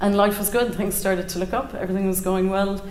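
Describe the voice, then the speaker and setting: There is audible room echo and noticeable background noise as a woman speaks in a Cork accent. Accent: Irish (Cork). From Ireland, County Cork. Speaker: storyteller. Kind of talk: live personal storytelling. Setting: stage with audience.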